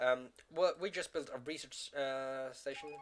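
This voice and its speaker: A man with a Norwegian accent speaks at a medium pitch. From Norway. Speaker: gaming YouTuber. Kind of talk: gameplay commentary. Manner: halting, many fillers.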